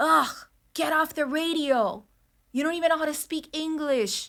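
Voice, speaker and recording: A woman speaks with an American accent in a bright, sharp tone, recorded very cleanly against a silent background. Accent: Miami Cuban American English. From Miami, Florida (Hialeah), Cuban American. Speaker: radio personality. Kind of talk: podcast interview.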